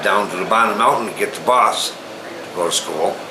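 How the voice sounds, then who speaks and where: With an American accent, a man talks at a moderate pace through audible room echo and noticeable background noise. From US Northeast, Falls Village, Connecticut. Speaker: local resident. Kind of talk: casual interview. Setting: at his home.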